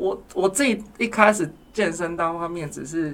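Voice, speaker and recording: Noticeable noise sits in the background. The man's voice is high-pitched. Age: 30s. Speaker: counselor at a men's support center. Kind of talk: casual interview chat.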